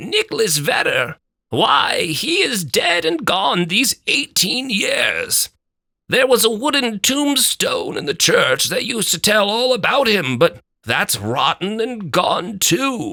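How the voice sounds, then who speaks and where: A put-on character voice moves along at a fairly slow rate. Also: man, high pitch for a man. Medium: read story.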